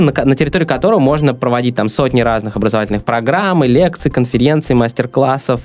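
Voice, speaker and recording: The speech moves at a very fast pace with ordinary pitch variation. Background noise is noticeable. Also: man. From Russia, St Petersburg. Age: 20s. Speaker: entrepreneur, coworking founder. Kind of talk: interview. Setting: studio.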